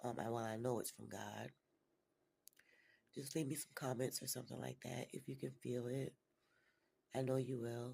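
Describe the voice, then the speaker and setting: At a moderate pace, a man with a medium pitch and a somewhat breathy voice keeps his intonation fairly even, leaving long, frequent pauses. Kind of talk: casual talk to camera.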